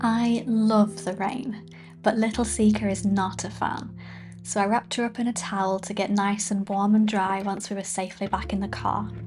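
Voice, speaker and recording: Speech at a moderate pace over background music. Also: woman. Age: 20s. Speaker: hiking vlogger. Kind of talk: travel vlog voiceover.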